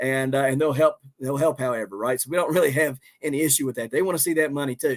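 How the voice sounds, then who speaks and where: A man talks with a Southern accent. His pace is very fast. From West Virginia. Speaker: homesteader and gardener. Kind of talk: live stream chat. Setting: live stream. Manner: casual, halting with fillers.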